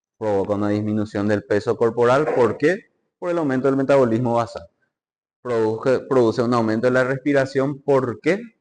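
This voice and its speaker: At a moderate pace, a man speaks in a plain, everyday voice of medium pitch with ordinary pitch variation. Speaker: medical lecturer or student presenter. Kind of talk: lecture.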